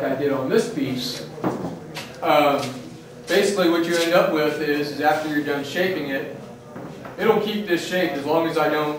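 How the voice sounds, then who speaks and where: At a moderate pace and with fairly even intonation, the speech carries audible room echo and noticeable background noise. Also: man. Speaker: leatherworking instructor. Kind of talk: demonstration talk to a class. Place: workshop. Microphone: camera far.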